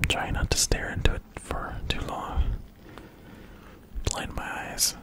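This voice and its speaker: A man is whispering. He goes at a fairly slow pace. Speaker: ASMR creator. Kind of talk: ASMR video; casual talk to camera. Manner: whispered. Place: home room. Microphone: studio mic.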